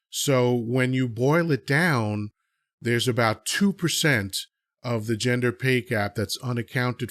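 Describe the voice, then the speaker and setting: A man's medium-pitched, ordinary speaking voice, fairly slow, with ordinary pitch variation, dry and close with no echo, on a very clean recording with a silent background. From USA (born in Dominican Republic, moved at age two). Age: 50s. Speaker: podcast host. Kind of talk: opinionated discussion. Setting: live audio chat app.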